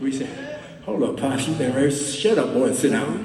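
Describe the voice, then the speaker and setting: There is noticeable background noise behind this man. He speaks with an American accent and very wide pitch swings. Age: 80s+. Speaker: singer, founding member of a vocal group. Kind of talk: stage talk to a live audience. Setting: live concert hall.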